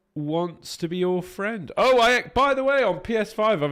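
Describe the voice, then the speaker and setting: Music is playing in the background. A man talks over it at a fairly slow pace. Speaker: voice actor streaming a game. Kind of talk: live stream chat. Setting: live stream.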